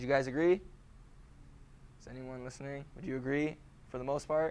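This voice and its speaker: A man with a fairly high pitch talks at a fairly quick pace, his intonation fairly even but his loudness swinging widely. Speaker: high school teacher. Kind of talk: classroom lecture. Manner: fast.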